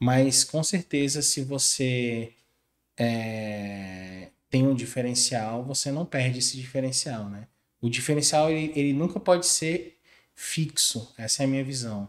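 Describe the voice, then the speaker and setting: A man's ordinary speaking voice with ordinary pitch variation. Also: medium pitch for a man, fairly slow pace. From Brazil, western Bahia (Barreiras). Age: 30s. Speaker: creative agency co-founder. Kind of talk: interview conversation.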